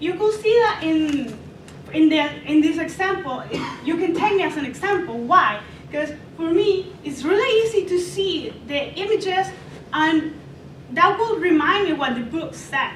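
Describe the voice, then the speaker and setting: With audible room echo, a woman at an extremely high pitch speaks at a moderate pace, her intonation lively and broken by long, frequent pauses. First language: not English. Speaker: student presenter. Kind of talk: class presentation. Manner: halting.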